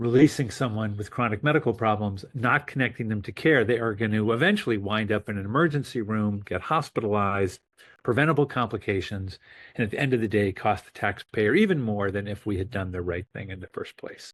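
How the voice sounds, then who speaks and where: The speaker has an American accent and a plain, everyday voice. The pace is fairly quick against a quiet background. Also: man, fairly low pitch for a man, ordinary pitch variation. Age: 60s. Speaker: physician. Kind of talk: interview. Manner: casual, with filler words.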